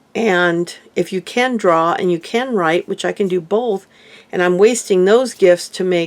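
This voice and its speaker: In a plain, everyday voice, a woman talks at a medium pitch and moderate pace. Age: 60s. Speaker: lifestyle vlogger. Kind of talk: casual vlog monologue.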